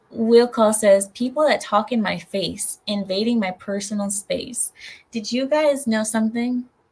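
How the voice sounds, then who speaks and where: A woman speaks at a fairly slow pace in a fairly high, somewhat breathy voice with fairly even intonation. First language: not English. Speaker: livestream host. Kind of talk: casual live chat with viewers. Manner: careful enunciation.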